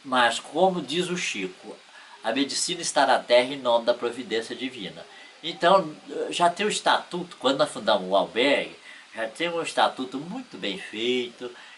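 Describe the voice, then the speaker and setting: Noticeable background noise accompanies a man speaking at a moderate pace. His pitch is medium and his intonation lively. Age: 70s. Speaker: spiritist shelter volunteer. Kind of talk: interview.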